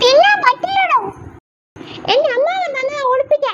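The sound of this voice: A squeaky, cartoonish character voice at an extremely high pitch talks at a moderate pace.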